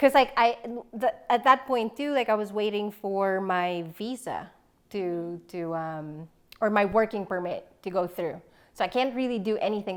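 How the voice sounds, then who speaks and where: A woman speaks at a moderate pace with a Filipino accent. The recording is very clean, with a silent background. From Philippines. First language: Filipino language. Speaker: professional organizer. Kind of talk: casual interview.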